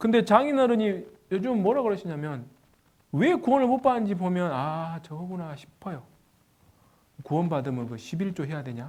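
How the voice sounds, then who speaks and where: A man speaks at a high pitch, with very wide pitch swings and big swings in loudness. Long, frequent pauses break his speech, and room echo is audible. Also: moderate pace. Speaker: pastor. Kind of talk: sermon.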